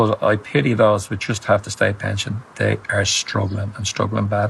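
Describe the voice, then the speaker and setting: The speaker has a Dublin accent and a moderate pace. There is noticeable background noise. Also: man. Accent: Irish (Dublin). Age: 70s. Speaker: retired pensioner. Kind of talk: TV interview. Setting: TV studio. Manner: halting, repeats words.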